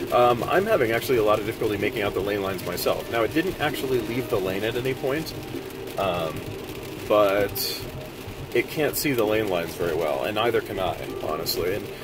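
Noticeable background noise sits behind a man talking at a fairly quick pace with lively intonation, in a dry sound with no echo. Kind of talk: commentary. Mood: slightly nervous, analytical. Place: car.

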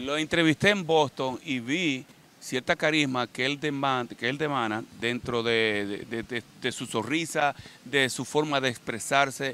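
A man uses a normal speaking voice at medium pitch, talking at a fairly slow pace with ordinary pitch variation. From Dominican Republic, Baní. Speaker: interviewer. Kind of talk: interview.

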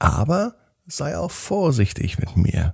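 A man puts on a character voice at a slow pace, his pitch fairly high with very wide swings. Vocal fry and a slightly husky edge run through it.

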